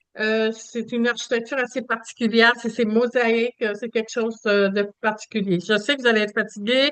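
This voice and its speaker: In a Quebec accent, a woman speaks fairly quickly at a fairly high pitch, her intonation monotone and flat. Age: 70s. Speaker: travel agent. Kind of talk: presentation. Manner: hesitant with many fillers.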